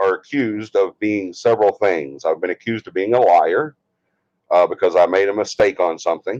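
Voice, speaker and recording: A moderate pace with an Alabama accent, in a dry, close sound with no echo. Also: man. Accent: US Southern (Alabama). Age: 60s. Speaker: paranormal investigation team leader and livestream host. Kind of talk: casual livestream chat. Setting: livestream from a bedroom.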